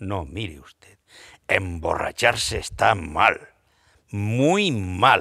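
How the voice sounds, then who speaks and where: A man speaks at a very slow pace with a bright, sharp tone. The recording is very clean, with a silent background. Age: 60s. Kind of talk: panel discussion. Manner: animated.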